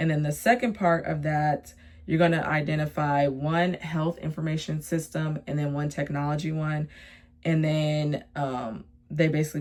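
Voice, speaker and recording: This woman's voice has a very deep, low pitch. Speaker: nursing student and labor and delivery worker. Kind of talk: casual vlog tutorial. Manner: fast; casual with many fillers.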